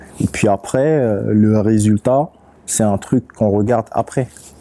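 A man speaks in a dark, mellow tone with fairly even intonation. The sound is dry and close, with no echo. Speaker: rapper and beatmaker. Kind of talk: casual interview chat.

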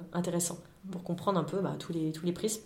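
A woman's fairly low voice at a very fast pace, with ordinary pitch variation, audible room echo and noticeable background noise. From France, Lyon. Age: 40s. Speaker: climate awareness workshop founder. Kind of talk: interview. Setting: studio. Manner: hesitant, frequent fillers.

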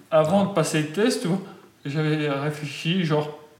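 Over noticeable background noise and audible room echo, a man speaks fairly slowly in a fairly high pitch with ordinary pitch variation. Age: 20s. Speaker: patient with juvenile Huntington's disease. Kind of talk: interview.

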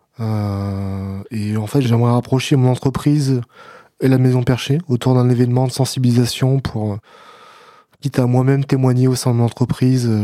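In a very clean recording with a silent background, a man talks in a dark, mellow tone with fairly even intonation. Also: medium pitch for a man, moderate pace. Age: 30s. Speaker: person living with schizophrenia. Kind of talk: casual chat.

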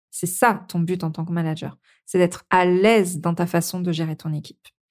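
Medium in pitch, a woman talks at a moderate pace in an unremarkable speaking voice. The recording is very clean, with a silent background. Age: 40s. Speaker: podcast host and management coach. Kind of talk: solo podcast monologue.

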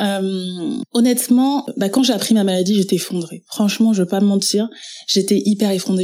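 A woman speaks in a dark, mellow tone at a fairly quick pace. Her intonation stays fairly even. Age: 30s. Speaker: web entrepreneur and trainer. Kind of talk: personal testimony interview.

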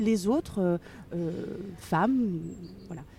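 A woman's dark, mellow voice at a very slow pace, with lively intonation. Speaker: author and education inspector. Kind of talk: interview. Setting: outdoors. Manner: halting with many fillers.

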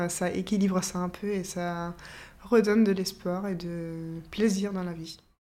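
This woman, speaking with a German accent, has a dark, mellow tone at medium pitch and a monotone, flat intonation. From Austria. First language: German (speaking French). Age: 30s. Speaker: orchestra violinist. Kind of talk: interview testimony. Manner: hesitant, with fillers and repetitions.

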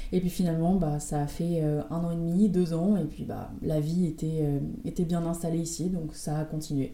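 At a moderate pace, a woman with a fairly low pitch and fairly even intonation speaks amid noticeable background noise and audible room echo. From France, Rouen. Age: 20s. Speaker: pharmacist. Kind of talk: interview.

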